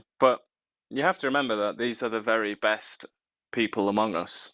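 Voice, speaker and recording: A man's fairly low voice with a British accent and a deadpan tone. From Britain. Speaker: talk show co-host. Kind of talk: casual chat. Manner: deadpan sarcastic.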